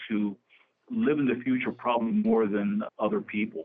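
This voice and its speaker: Using a normal speaking voice with an American accent, a man talks at a moderate pace and medium pitch with lively intonation. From New Jersey (Camden). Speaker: real estate executive, former state official. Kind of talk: radio interview.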